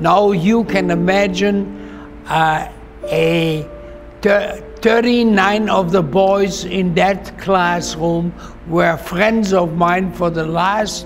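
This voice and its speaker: With a German accent, a man speaks at a very slow pace and very even loudness, with audible room echo and music in the background. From Germany (Dortmund). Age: 90s. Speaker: Holocaust survivor. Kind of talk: testimony. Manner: halting.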